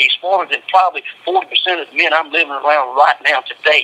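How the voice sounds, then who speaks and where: The speaker has a Southern US accent and a fairly quick pace. Noticeable background noise is audible. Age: 50s. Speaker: death row inmate. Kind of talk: phone interview.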